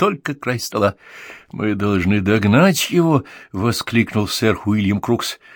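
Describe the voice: The lively intonation lifts what is plain reading aloud.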